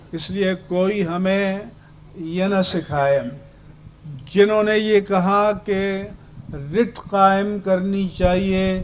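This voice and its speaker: Against noticeable background noise, a man with a high voice speaks with long, frequent pauses. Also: fairly even intonation. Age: 70s. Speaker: religious leader. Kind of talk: speech. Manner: formal.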